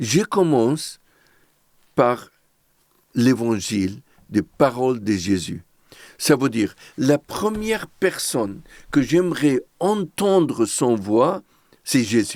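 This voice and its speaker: A man with an Arabic accent speaks very slowly, leaving long, frequent pauses. His medium-pitched voice swings very widely in pitch while his loudness stays very even. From Lebanon, Beirut. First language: Arabic (speaking French). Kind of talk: testimony.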